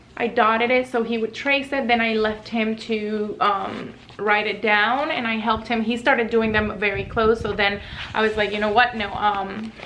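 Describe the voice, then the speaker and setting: Amid noticeable background noise and audible room echo, a woman with a Spanish accent and a fairly high pitch speaks at a moderate pace in a monotone, flat intonation. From Puerto Rico. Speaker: lifestyle and parenting vlogger. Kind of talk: casual tutorial.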